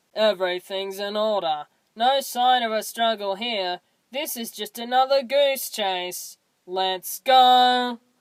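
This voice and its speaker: Delivered at a fairly slow pace, a put-on character voice sits at a fairly high pitch. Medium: solo performance. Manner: offhand, breezy.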